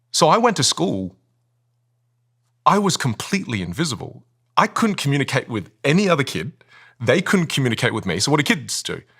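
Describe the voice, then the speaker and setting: On a very clean recording with a silent background, a man with an Australian accent talks at a fairly quick pace in a bright, sharp tone, with very wide pitch swings, vocal fry and long, frequent pauses. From Australia, Vietnamese-Chinese family. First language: Chinese dialect, then Vietnamese. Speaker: communication coach. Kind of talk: interview. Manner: animated.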